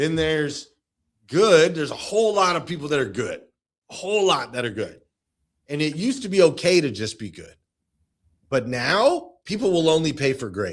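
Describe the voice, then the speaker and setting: A man speaks at a moderate pace with a fairly high pitch, vocal fry and an animated tone. His pitch swings very widely, his loudness rises and falls sharply, and he leaves long, frequent pauses. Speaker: automotive sales coach. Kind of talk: interview.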